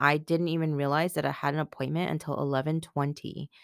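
A woman speaks in a very deep, low pitch with fairly even intonation. The sound is dry and close with no echo, on a very clean recording with a silent background. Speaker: podcast host and coach. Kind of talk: casual monologue. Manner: rambling, filler-heavy.

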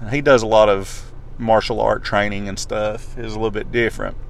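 A man talks at a fairly quick pace with ordinary pitch variation. Room echo is audible, and background noise is noticeable. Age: 30s. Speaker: podcast host. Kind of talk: solo podcast monologue. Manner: casual, stumbling.

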